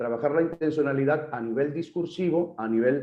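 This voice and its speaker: A plain, everyday voice from a man, fairly high in pitch, at a fairly quick pace with ordinary pitch variation. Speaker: pastor. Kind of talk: lecture.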